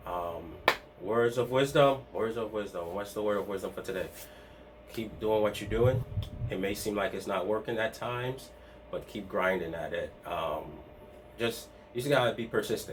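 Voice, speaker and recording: A man talks at a fairly low pitch with long, frequent pauses. Music plays in the background. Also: ordinary pitch variation. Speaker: part-time online reseller and video host. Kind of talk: casual vlog talk to camera. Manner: fast; halting, many restarts and fillers.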